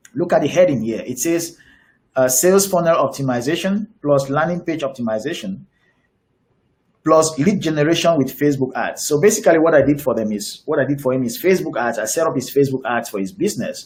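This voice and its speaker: The man's voice sits fairly high. He speaks very fast, and his intonation is lively. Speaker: digital marketing coach. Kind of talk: webinar presentation. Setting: online webinar with screen share. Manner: halting, frequent fillers and repeats.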